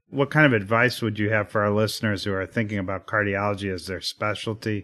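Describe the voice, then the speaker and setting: Fairly low in pitch, a man uses a plain, everyday voice at a fairly quick pace. His intonation stays fairly even over a quiet background. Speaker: radio host, cardiologist. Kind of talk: interview, medical podcast host.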